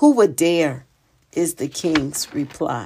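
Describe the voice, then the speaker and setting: A woman's very deep, low voice with a dark, mellow tone at a very slow pace, on a very clean recording with a silent background. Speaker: podcast host and poet. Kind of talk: spoken-word poetry reading, delivered as a devotional poem; devotional poetry podcast. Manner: measured, rhythmic and heartfelt, with a prayerful cadence.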